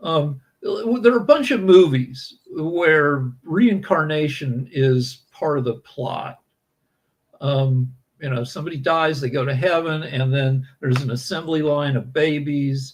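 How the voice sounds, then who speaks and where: A man's fairly high, somewhat breathy voice at a fairly slow pace, with ordinary pitch variation. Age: 60s. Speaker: podcast guest answering questions. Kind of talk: casual conversational interview.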